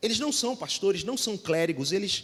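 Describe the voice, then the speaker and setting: A man is speaking. He has a Rio de Janeiro accent. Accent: carioca. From Rio de Janeiro, Brazil. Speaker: pastor. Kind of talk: sermon.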